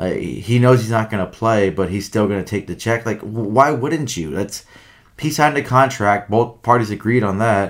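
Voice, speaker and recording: A man speaks at a moderate pace and medium pitch with ordinary pitch variation, in a plain, everyday voice. The recording is very clean with a silent background. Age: 30s. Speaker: hockey podcast co-host. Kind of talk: casual chat.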